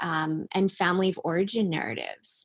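In a Canadian accent, the speaker keeps a moderate pace with ordinary pitch variation. It is an unremarkable speaking voice. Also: woman. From Canada, Langley, British Columbia. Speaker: financial coach. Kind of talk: interview.

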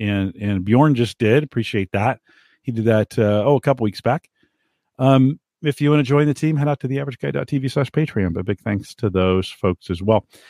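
A man with a dark, mellow tone at medium pitch, lively intonation and moderate pace, dry and close with no echo, very clean recording with a silent background. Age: 50s. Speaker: podcast host. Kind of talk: solo podcast monologue. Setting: home studio, live stream.

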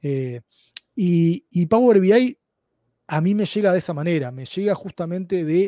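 A man with a high pitch and a dark, mellow tone speaks at a fairly slow pace. His pitch variation is ordinary, and the sound is dry and close with no echo. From Uruguay. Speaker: data analytics expert. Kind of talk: interview. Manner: halting, many repetitions.

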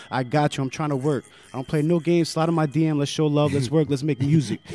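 A man speaks very fast at a fairly high pitch, with fairly even intonation. The sound is dry and close with no echo, and music plays in the background. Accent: American. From New Jersey (Jersey City), Colombian family. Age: 20s. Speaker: rapper. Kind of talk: casual interview chat. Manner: laid-back, filler-heavy.

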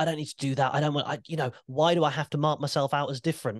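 Against a quiet background, a man speaks very fast at a fairly high pitch, the sound dry and close with no echo. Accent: British. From UK. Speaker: podcast host and wrestling commentator. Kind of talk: casual chat. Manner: animated.

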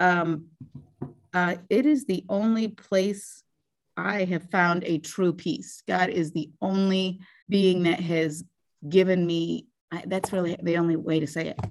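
Here is an ordinary speaking voice: a woman with an American accent at a fairly low pitch. Her pace is fairly slow, with ordinary pitch variation. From northeast Ohio. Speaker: teacher. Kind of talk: interview.

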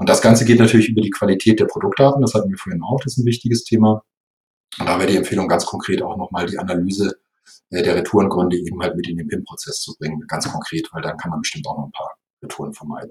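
Very fast and somewhat breathy, a man speaks with a fairly low pitch and ordinary pitch variation. His loudness swings widely. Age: 50s. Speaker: software company executive. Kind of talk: interview.

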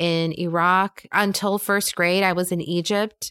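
In a very clean recording with a silent background and a dry, close sound with no echo, a woman with an American accent speaks very slowly at a medium pitch in a bright, sharp tone. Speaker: podcast host and leadership coach. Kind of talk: solo podcast monologue. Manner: animated.

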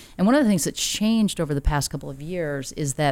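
In a very clean recording with a silent background, a woman talks very fast with an American accent. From US Midwest, Rochester, Minnesota. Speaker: nonprofit CEO and social impact investor. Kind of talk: interview conversation. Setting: in-person office recording.

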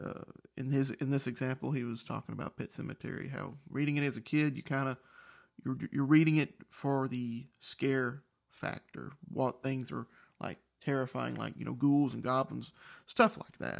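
Recorded very cleanly against a silent background, a man speaks at a medium pitch and moderate pace with fairly even intonation. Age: 30s. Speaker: book podcast host. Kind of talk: solo book recap monologue. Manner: halting, many fillers and restarts.

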